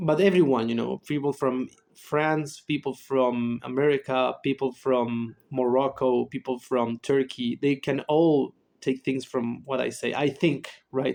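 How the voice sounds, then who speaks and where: In a Spanish accent, a man speaks at a medium pitch and a fairly slow pace with fairly even intonation. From Chile. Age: 20s. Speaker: psychologist and YouTuber. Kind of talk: casual monologue. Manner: halting, many fillers.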